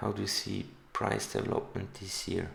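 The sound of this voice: A man's low pitch with little pitch movement, vocal fry and a fairly bright tone at a moderate pace, in strong room echo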